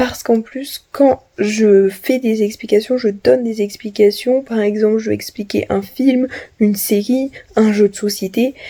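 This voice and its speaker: A woman's fairly high, somewhat breathy voice with a dark, mellow tone, fairly even intonation and a fairly slow pace. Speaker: vlogger. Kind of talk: vlog monologue. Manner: many filler sounds.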